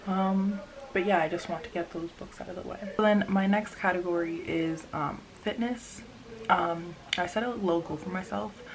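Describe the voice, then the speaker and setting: A woman talks at a moderate pace with ordinary pitch variation, with audible room echo and noticeable background noise. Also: medium pitch for a woman. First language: Spanish. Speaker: vlogger. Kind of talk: casual chat. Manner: hesitant, many fillers.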